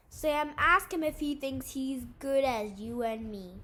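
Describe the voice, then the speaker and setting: Putting on a character voice, a woman speaks high in pitch at a fairly slow pace with lively intonation. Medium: read story. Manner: drawling, mocking.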